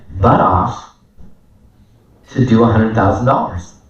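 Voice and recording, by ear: With audible room echo, a man talks in a slightly mellow tone and ordinary pitch variation.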